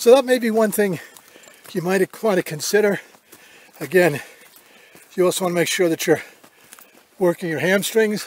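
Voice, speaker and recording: A high-pitched male voice with long, frequent pauses over noticeable background noise. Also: ordinary pitch variation, moderate pace. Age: 70s. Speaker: hiking vlogger. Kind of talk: tutorial. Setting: outdoors. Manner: halting.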